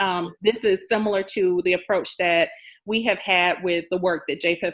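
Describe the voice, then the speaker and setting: A woman with an American accent talks at a moderate pace in a fairly low pitch with ordinary variation. It is a plain, everyday voice. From Jacksonville, Florida. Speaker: nonprofit president. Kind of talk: interview. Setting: video call.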